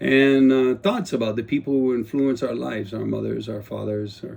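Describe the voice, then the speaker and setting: Speaking with a Guam accent, a man has a dark, mellow tone and ordinary pitch variation. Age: 60s. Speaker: retired police officer and politician turned vlogger. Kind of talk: casual personal vlog monologue. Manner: unscripted, hesitant with fillers.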